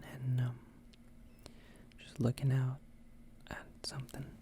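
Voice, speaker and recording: The voice is soft-spoken and whispering. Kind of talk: casual chatty show-and-tell to camera. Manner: whispered, soft-spoken.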